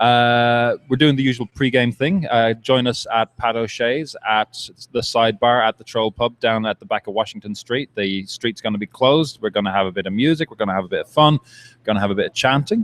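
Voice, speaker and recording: With an Irish accent, a man talks at a fairly quick pace with hardly any pauses, at a medium pitch with ordinary pitch variation. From Ireland. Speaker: soccer supporters' group representative. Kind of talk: casual interview. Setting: live at a brewery.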